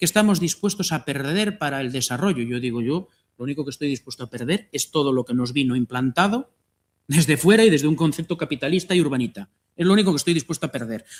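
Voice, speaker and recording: Lively intonation marks this man's fairly high-pitched voice as he talks at a very fast pace. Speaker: agroecology project coordinator. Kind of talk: panel talk.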